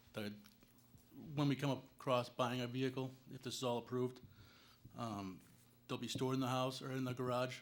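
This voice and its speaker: In a monotone, flat delivery with long, frequent pauses, a man speaks with an American accent. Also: medium pitch for a man, fairly quick pace. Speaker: business license applicant. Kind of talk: public meeting testimony. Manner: loud.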